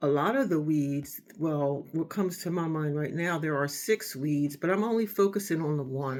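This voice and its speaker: Someone with an American accent talks at a moderate pace with hardly any pauses. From United States. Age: 60s. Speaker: home gardening vlogger. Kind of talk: casual monologue. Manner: hesitant, many fillers.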